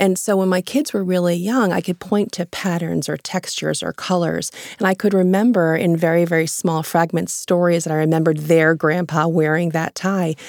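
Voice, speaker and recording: In a plain, everyday voice, a woman speaks fairly quickly with hardly any pauses, fairly low in pitch and fairly even in intonation, the sound dry and close with no echo. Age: 40s. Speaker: author and journalist. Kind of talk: interview. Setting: studio.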